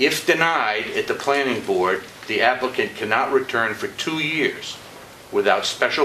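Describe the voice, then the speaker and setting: Noticeable background noise runs under the recording. A man speaks over it at a moderate pace. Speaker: public commenter at county meeting. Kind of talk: public comment. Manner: loud; halting.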